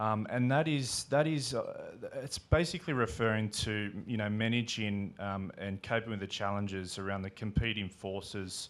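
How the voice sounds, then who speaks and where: In a very clean recording with a silent background, a man with an Australian accent and a fairly low pitch speaks at a moderate pace with ordinary pitch variation and hardly any pauses. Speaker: infrastructure investor. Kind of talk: panel discussion. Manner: halting, many fillers.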